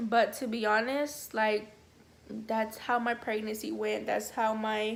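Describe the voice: A woman speaks slowly at a fairly high pitch with vocal fry. Her pitch moves very little.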